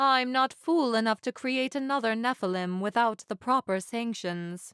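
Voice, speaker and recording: Putting on a character voice, a woman drawls at a fairly high pitch. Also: moderate pace, very clean recording, silent background. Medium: read story. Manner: drawling.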